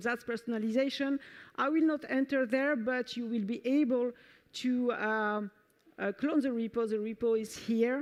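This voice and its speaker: With a French accent, a woman speaks at a moderate pace and fairly high pitch over a quiet background. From France. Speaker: software developer advocate. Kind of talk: conference talk. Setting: stage with audience.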